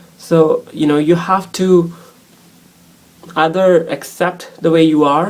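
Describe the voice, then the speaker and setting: Very deep and low, a woman's voice holds monotone, flat intonation. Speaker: transgender vlogger. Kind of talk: casual chat. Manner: halting.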